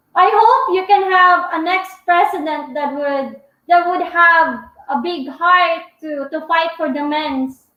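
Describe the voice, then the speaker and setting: Speaking loudly at a very slow pace, a woman uses an extremely high pitch with ordinary pitch variation while the room echo is audible. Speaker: vlogger. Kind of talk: live stream Q&A chat. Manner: talkative.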